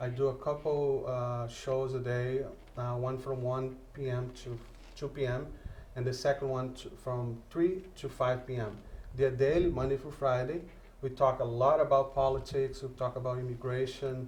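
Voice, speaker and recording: Amid noticeable background noise and audible room echo, a man talks at a moderate pace and a medium pitch with monotone, flat intonation. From Brazil. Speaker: radio host and journalist. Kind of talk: interview. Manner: halting.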